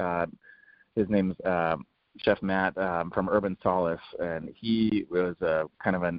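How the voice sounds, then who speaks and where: A man speaks in a very deep, low pitch with an American accent. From San Diego, California. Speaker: executive chef. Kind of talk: interview. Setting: phone call. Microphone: phone line, drops out.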